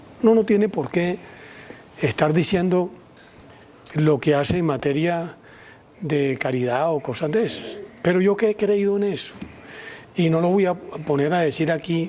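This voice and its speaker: Noticeable background noise sits under a man speaking at a high pitch. His pace is fairly slow, with long, frequent pauses. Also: ordinary pitch variation. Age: 60s. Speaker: politician and columnist. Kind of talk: TV news interview.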